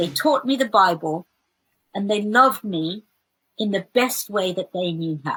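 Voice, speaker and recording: A woman with a West Midlands accent speaks at medium pitch and a fairly slow pace, her bright, sharp tone carrying lively intonation between long, frequent pauses. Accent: British English, West Midlands. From England, West Midlands. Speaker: theologian. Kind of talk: interview. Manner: hesitant fillers.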